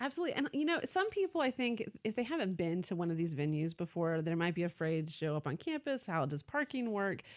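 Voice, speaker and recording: Very wide pitch swings and very even loudness mark this very fast speech in an American accent, with hardly any pauses. The very clean recording has a silent background and a dry, close sound with no echo. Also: woman, medium pitch for a woman. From US South, Atlanta, Georgia. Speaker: university arts events representative. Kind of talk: radio interview.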